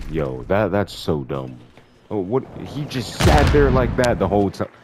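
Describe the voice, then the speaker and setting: Over noticeable background noise, a man with a very deep, low voice speaks at a fairly slow pace, his pitch swinging very widely. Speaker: gaming commentator. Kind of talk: casual gameplay commentary. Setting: home recording over game audio.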